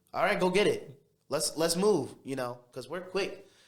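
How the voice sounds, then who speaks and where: A man with an American accent speaks at a high pitch with ordinary pitch variation. Audible room echo surrounds the voice. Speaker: guest sharing faith story. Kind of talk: interview testimony. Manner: fast; brash.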